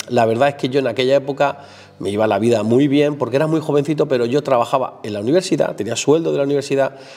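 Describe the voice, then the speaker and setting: Over music in the background, a man talks at a very fast pace. His voice sits fairly high and shows ordinary pitch variation. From southern Spain, Málaga province (Álora). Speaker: painter. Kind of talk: casual chat. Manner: halting.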